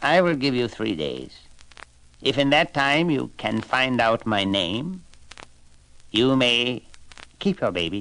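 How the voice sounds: Using a put-on character voice, a man speaks at a medium pitch with a fairly bright tone and big pitch swings. His pace is slow, with long, frequent pauses.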